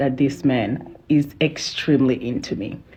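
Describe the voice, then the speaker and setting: A woman speaks at a fairly slow pace. Noticeable background noise is audible. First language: not English. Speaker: social media creator sharing relationship story. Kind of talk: personal testimony.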